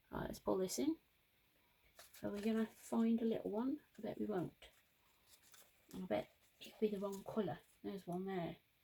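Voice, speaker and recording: Pausing long and often, a woman speaks in a somewhat breathy voice with a dark, mellow tone, a medium pitch and lively intonation. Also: moderate pace. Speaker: crafter. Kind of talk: craft tutorial chat. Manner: casual, chatty.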